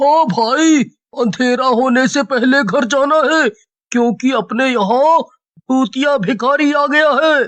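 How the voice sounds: In a cartoonish character voice, the speaker draws out words at a very slow pace and a high pitch.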